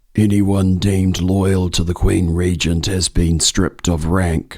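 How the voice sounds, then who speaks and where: A man puts on a character voice with a very deep, low pitch. He goes at a fairly slow pace in a monotone, flat intonation. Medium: voice reel. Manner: measured, menacing.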